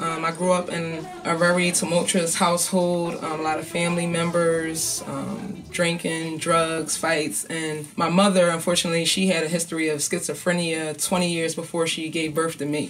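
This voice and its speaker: A woman with a Philadelphia accent, fairly low pitch, monotone and flat intonation, a moderate pace, hardly any pauses, and music in the background. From North Philadelphia. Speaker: hip-hop artist and advocate. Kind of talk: interview answer.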